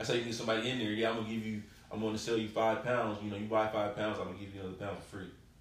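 A man talks at a very fast pace with a fairly low pitch. His intonation is monotone and flat, and there is noticeable background noise. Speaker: podcast guest and rapper. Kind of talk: casual chat.

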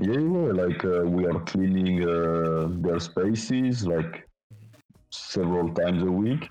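With a French accent, a man speaks very slowly in a very deep, low pitch at very even loudness. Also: ordinary pitch variation. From northern France, Lille. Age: 20s. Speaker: volunteer. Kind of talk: casual chat.

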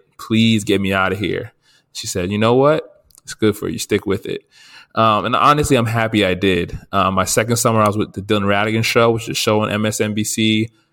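A man with a plain, everyday voice and an American accent speaks at a fairly quick pace in a fairly low pitch, on a very clean recording with a silent background. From New Jersey. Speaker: podcast co-host, journalist. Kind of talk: casual chat.

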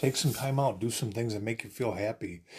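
Here a man talks at a medium pitch, somewhat breathy. The background is quiet. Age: 40s. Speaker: podcast host. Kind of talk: casual monologue. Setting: home studio.

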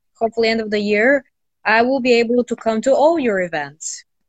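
The pace of this woman's speech is moderate. She varies her pitch in an ordinary way. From Bulgaria. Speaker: entrepreneur and branding expert. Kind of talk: casual interview. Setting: video call.

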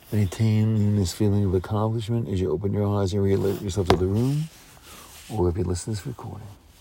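A man with fairly even intonation and a fairly low pitch rattles along at a very fast speed. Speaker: hypnotherapist. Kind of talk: guided hypnosis session, calm trance-induction script with long pauses. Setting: recorded audio session for listeners. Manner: gentle and reassuring, repeating key words like resolution.

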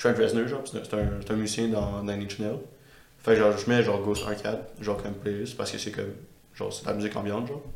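Someone talks at a very fast pace in a Quebec accent, with fairly even intonation and audible room echo. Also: man, fairly low pitch for a man. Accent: Québécois French. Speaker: podcast host. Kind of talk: casual chat.

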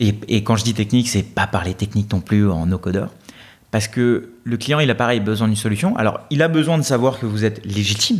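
A man's ordinary speaking voice with ordinary pitch variation. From India, raised in France from age 8. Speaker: developer and YouTube creator. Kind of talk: casual interview.

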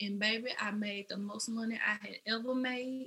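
In a Memphis accent, a woman speaks at a fairly slow pace with a bright, sharp tone, fairly high pitch and monotone, flat intonation. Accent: Southern US, Memphis. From Memphis, Tennessee, US South. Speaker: makeup artist and entrepreneur. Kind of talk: casual interview chat.

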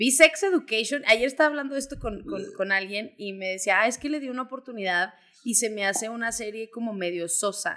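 In a bright, sharp tone and a fairly high pitch, a woman talks at a fairly quick pace with lively intonation, big swings in loudness and hardly any pauses. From Mexico, Zacatecas. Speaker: podcast co-host, producer. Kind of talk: casual chat.

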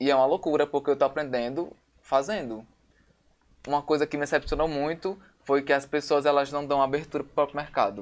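On a very clean recording with a silent background, a man with a plain, everyday voice speaks at a fairly quick pace and a fairly high pitch, his intonation fairly even but his loudness swinging widely. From Natal, northeastern Brazil. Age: 20s. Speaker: photographer and visual artist. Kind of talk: casual chat.

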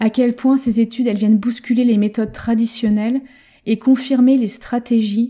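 A woman talks at a moderate pace in a dark, mellow tone. Her delivery is monotone and flat. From France. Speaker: language learning coach. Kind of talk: solo podcast monologue.

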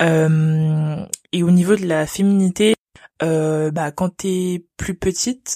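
The woman's voice is fairly low in pitch, with fairly even intonation. The sound is dry and close with no echo, in a very clean recording with a silent background. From France. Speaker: engineering student. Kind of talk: interview. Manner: halting.

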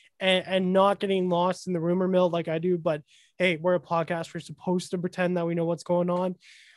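In a dry, close sound with no echo, a man with a high pitch speaks at a fairly quick pace with monotone, flat intonation. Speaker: sports podcast host. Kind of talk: casual chat.

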